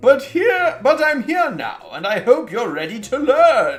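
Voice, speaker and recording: The speaker is a man using a put-on character voice. He goes at a fairly slow pace while faint music sits in the background. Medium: game stream. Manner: apologetic, rambling.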